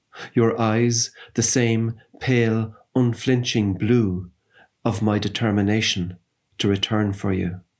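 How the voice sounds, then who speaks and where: Fairly even intonation marks speech that unfolds at a very slow pace. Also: man. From Ireland. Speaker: poet. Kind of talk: poetry reading.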